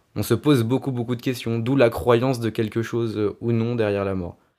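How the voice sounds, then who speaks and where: At a moderate pace, a man speaks at a medium pitch with fairly even intonation, in a very clean recording with a silent background. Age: 20s. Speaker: illustrator. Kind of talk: interview. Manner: halting, many hesitations.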